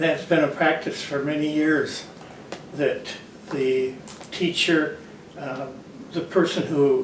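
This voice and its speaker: A man with an American accent and a fairly high pitch speaks at a very slow pace, with audible room echo and noticeable background noise. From Michigan, Grand Rapids. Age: 90s. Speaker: retired orchard farmer. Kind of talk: interview.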